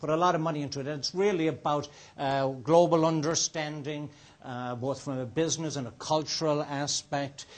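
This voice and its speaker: Speaking at a fairly quick pace in an Irish accent, a man uses a fairly high pitch and fairly even intonation. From Ireland. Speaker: restaurateur and entrepreneur. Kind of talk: guest talk to students. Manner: casual, with many fillers.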